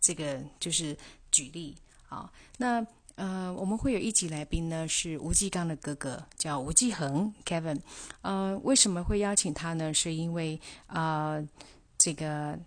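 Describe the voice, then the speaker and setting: A woman talks in a fairly low voice at a fairly slow pace. Her pitch varies in an ordinary way. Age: 50s. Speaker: podcast host. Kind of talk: solo podcast monologue. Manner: halting, many fillers.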